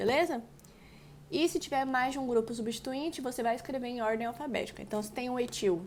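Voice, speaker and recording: Talking at a fairly quick pace with ordinary pitch variation, a woman with a fairly high voice is heard with audible room echo. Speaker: chemistry teacher. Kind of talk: lecture.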